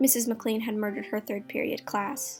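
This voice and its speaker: Against music in the background, a woman speaks at a fairly quick pace with a fairly high pitch. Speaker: ASMR artist and creepypasta writer-reader. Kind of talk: ASMR creepypasta reading while painting. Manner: soft-spoken.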